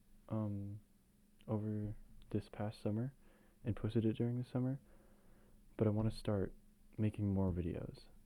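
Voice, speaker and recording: Soft-spoken and dark, mellow in tone, a man talks at a medium pitch with fairly even intonation. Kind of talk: casual talk to camera, soft-spoken ASMR chat. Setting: low-quality home camera recording.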